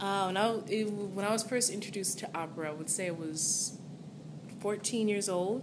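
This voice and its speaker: With an American accent, a woman speaks at a moderate pace and medium pitch with fairly even intonation, over noticeable background noise and audible room echo. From Southern California. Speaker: singer. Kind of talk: interview. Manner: halting.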